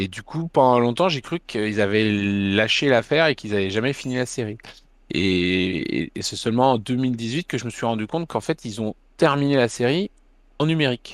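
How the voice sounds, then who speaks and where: A man speaks at a moderate pace in a medium pitch. He has an unremarkable speaking voice. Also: dry, close sound with no echo. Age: 40s. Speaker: manga publisher and festival founder. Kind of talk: interview.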